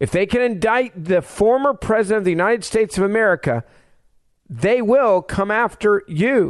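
A man speaks at a moderate pace with a high pitch and an animated tone, his pitch varying in an ordinary way. His loudness stays very even against a quiet background. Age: 40s. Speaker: fill-in radio talk show host. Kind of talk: talk radio monologue. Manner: impassioned, animated.

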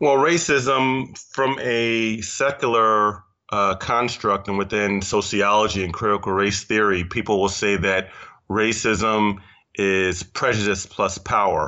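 A plain, everyday voice: a man with an American accent and fairly low pitch. He speaks at a fairly slow pace with ordinary pitch variation. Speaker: imam and social activist. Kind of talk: podcast interview discussion.

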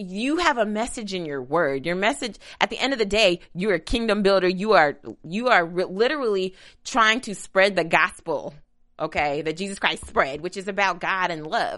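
Against a quiet background, a woman speaks at a moderate pace in a bright, sharp, animated tone with lively intonation. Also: medium pitch for a woman. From Kentucky. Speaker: co-host of a TV after show. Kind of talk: casual chat.

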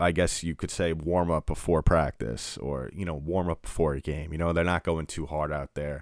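On a very clean, silent recording, a man with a very deep, low pitch and vocal fry speaks at a moderate pace with hardly any pauses. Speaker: sports podcast host. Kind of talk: solo sports talk podcast. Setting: podcast recording. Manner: subdued, not very enthusiastic-sounding; casual with many fillers.

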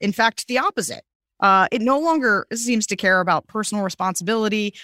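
Speaking very fast with very wide pitch swings, a fairly high-pitched woman with an American accent comes through dry and close with no echo in a very clean recording with a silent background. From Pennsylvania, US. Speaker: political strategist. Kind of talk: interview. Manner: halting.

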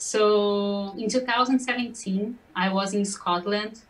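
In a Portuguese accent, a woman speaks in a somewhat breathy, medium-pitched voice with ordinary pitch variation. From Brazil. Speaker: singer-songwriter. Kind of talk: interview.

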